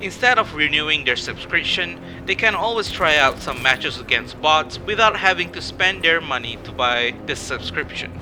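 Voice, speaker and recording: Music plays in the background. Over it, a man speaks at a moderate pace and a fairly high pitch. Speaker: gaming YouTuber. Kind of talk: casual talk to camera.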